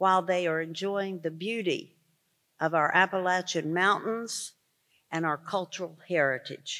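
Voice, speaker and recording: A woman's bright, sharp tone at a moderate pace. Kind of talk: formal speech. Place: hall. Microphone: podium.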